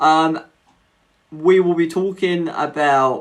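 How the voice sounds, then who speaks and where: A man speaks with an English accent in a bright, sharp tone. The recording is very clean, with a silent background. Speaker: mental health advocate, live streamer. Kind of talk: live stream casual chat. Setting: live stream, home setup. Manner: hesitant, many fillers.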